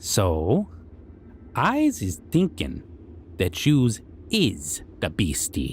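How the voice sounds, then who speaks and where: In a put-on character voice with a very deep, low pitch, the speaker goes very slowly with long, frequent pauses against clear background noise. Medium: audio drama. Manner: broken grammar, self-important, taunting.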